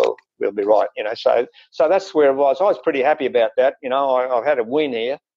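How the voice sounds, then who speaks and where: An Australian-accented man at a very fast pace, quiet background. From Queensland, Australia. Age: 70s. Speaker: interview guest, former diabetic. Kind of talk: interview answer. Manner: hesitant, many fillers. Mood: relaxed, pleased. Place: home room. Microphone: earbuds.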